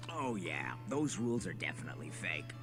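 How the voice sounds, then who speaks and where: A cartoonish character voice speaks at a fairly quick pace. Loud background noise fills the clip. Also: man. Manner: casual, offhand.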